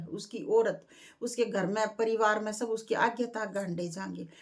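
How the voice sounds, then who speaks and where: This woman has a Haryana accent, a fairly high pitch and ordinary pitch variation. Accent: Haryanvi. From Jhajjar, Haryana. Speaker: bhajan singer and YouTuber. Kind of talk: casual talk to camera.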